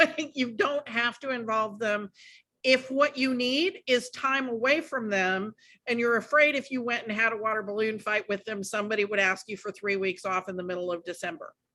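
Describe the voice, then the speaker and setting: A loud, bright, sharp woman's voice, fairly high-pitched, at a moderate pace with ordinary pitch variation, on a very clean recording with a silent background. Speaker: podcast host, childcare consultant. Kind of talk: casual podcast chat.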